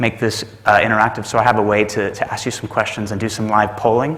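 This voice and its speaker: A man with a Texas accent, fairly low pitch, flat monotone delivery and fairly quick pace, amid audible room echo and noticeable background noise. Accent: American (Texas). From Texas, Dallas. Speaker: management consultant. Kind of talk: conference talk. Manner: hesitant with many fillers.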